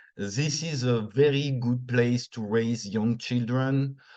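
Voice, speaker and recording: With a French accent, a man talks at a fairly slow pace, his medium-pitched voice keeping a fairly even intonation. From northern France. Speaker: returned expat, former English teacher. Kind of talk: interview.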